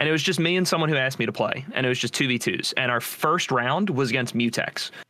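A man talks very fast at a medium pitch. Noticeable background noise runs underneath. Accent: American. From New Jersey. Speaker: gaming content creator. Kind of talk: casual chat.

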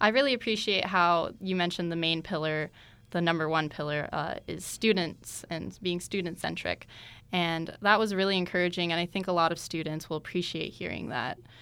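A woman speaks with an American accent at a fairly low pitch. Her tone is bright and sharp, and the recording is very clean with a silent background. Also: ordinary pitch variation, fairly quick pace. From Tucson, Arizona. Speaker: student radio host. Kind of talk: interview.

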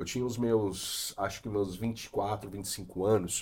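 Pitched fairly low, the man's voice has a dark, mellow tone. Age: 40s. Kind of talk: casual chat.

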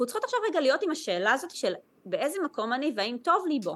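A woman at a very fast pace, with very wide pitch swings. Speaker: Chinese medicine practitioner. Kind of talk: interview, casual chat.

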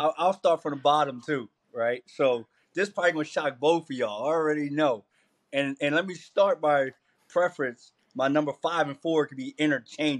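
A man with an American accent and a plain, everyday voice talks at a fairly quick pace, his pitch fairly high with ordinary variation. The sound is dry and close with no echo against a quiet background. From Camden, New Jersey. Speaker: college football coach. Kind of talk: casual chat.

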